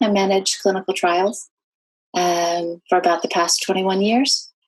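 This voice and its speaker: Here is a woman with an American accent and a normal speaking voice. Her pitch is medium and her pace moderate. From California, US. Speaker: author. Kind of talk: interview.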